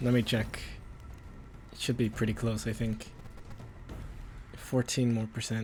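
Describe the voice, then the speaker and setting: Quiet and somewhat breathy, a man speaks at medium pitch in a flat monotone, fairly slowly, with long, frequent pauses. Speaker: video game streamer. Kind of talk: casual gameplay commentary. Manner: slight stutter.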